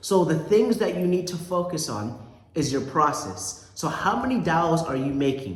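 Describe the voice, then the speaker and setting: A man with a high voice and lively intonation is heard with audible room echo and noticeable background noise. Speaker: sales coach. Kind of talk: motivational talk. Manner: emphatic.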